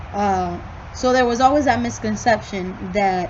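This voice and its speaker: A woman with a Spanish accent sounds somewhat breathy, using ordinary pitch variation, with audible room echo around her. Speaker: student. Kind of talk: recorded class reflection. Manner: casual, with fillers.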